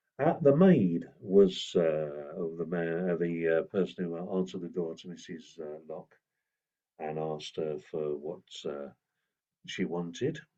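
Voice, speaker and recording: A man's very deep, low voice in an English accent, dark and mellow in tone, at a fairly slow pace with ordinary pitch variation and big swings in loudness. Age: 70s. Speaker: folk singer and storyteller. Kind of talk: informal talk / storytelling workshop. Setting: outdoors in a garden. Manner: hesitant, many fillers.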